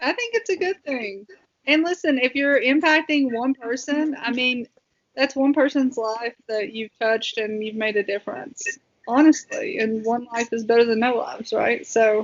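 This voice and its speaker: A woman with a Southern US accent speaks at a high pitch. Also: ordinary pitch variation, moderate pace. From Southwest Virginia, US South. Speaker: military veteran. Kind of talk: casual chat.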